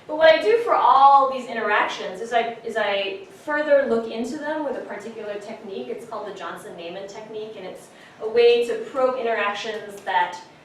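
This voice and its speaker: The speaker talks at a fairly quick pace with ordinary pitch variation and big swings in loudness, amid noticeable background noise and audible room echo. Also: woman, fairly high pitch for a woman, hardly any pauses. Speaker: science communication researcher. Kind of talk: academic lecture. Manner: fast.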